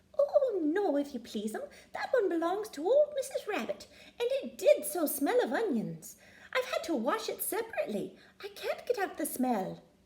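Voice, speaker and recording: Using a put-on character voice, a woman talks at an extremely high pitch with very wide pitch swings. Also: moderate pace. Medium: read story. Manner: humble, deferential.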